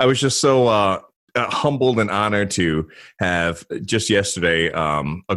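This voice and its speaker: With lively intonation, a man is heard on a very clean recording with a silent background. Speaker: consultant, former federal officer. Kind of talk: interview.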